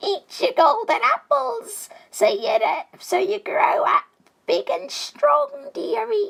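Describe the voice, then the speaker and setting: A put-on character voice with an extremely high pitch moves along at a fairly slow pace. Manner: coaxing, sweet.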